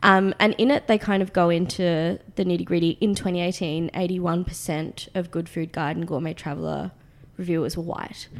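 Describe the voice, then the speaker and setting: Talking at a fairly quick pace, a woman with an Australian accent has a fairly low pitch. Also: fairly even intonation. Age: 20s. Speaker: magazine founder and writer. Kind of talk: casual interview.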